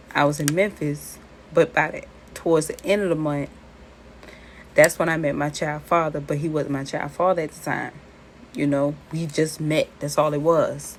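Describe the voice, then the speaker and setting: A woman in a Charleston accent, very deep and low in pitch, with monotone, flat intonation, big swings in loudness, and long, frequent pauses at a moderate pace. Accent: Charleston accent, similar to New Orleans. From US South, Charleston. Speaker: spiritual content creator. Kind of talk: casual talk about spirituality and personal story.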